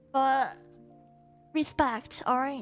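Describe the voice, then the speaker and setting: With music in the background, a woman with a non-native accent speaks at a fairly slow pace in a high pitch, her intonation fairly even. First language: Chinese. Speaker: VTuber streamer. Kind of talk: casual live-stream talk to chat.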